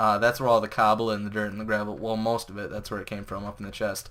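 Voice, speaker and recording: This man's pitch is fairly low. His tone comes across bright and sharp. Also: very clean recording, silent background. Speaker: gaming video creator. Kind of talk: let's play commentary. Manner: fast; casual.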